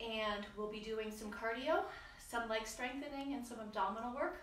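Ordinary pitch variation in a woman's speech, set in audible room echo. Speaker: fitness instructor. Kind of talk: exercise class instruction. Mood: warm, a little nervous. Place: garage. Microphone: camera far.

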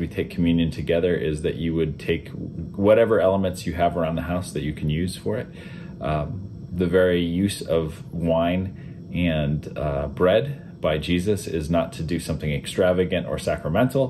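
There is light background noise as a man with a very deep, low voice speaks at a moderate pace. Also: ordinary pitch variation. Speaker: pastor. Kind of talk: sermon introduction. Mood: calm, contemplative. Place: home room. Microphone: webcam.

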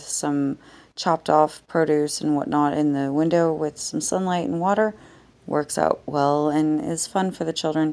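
Flat, monotone intonation comes through a dark, mellow tone. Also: woman. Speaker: vlogger. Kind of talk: casual vlog chat. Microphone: phone near.

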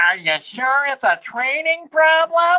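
This put-on character voice is high-pitched and whiny, moving at a fairly slow pace. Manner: complaining.

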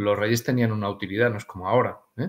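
A man talks in a medium pitch. His intonation is fairly even. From Spain. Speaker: aromatherapy author; interview guest. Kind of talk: interview. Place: home room.

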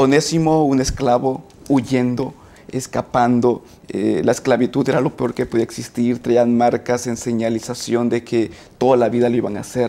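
A man is speaking. His pace is moderate. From Mexico, Coatzacoalcos, Veracruz. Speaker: teacher and graduate student. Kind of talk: panel discussion. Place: studio. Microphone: lapel.

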